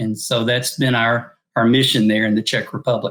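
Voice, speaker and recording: A man talks with a Southern accent. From US South, northeastern Arkansas. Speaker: missionary. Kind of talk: interview.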